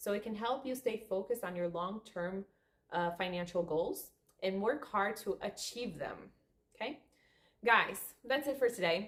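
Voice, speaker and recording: At a moderate pace and with a Portuguese accent, a woman speaks with ordinary pitch variation and long, frequent pauses. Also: medium pitch for a woman. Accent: non-native English, Portuguese. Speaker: spiritual coach, therapist. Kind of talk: casual video monologue. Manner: halting.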